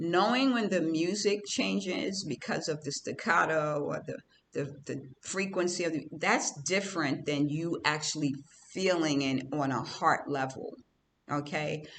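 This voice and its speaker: With a Brooklyn accent, the speaker goes at a fairly slow pace. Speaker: spiritual vlogger. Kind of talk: casual vlog monologue. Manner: conversational, chatty.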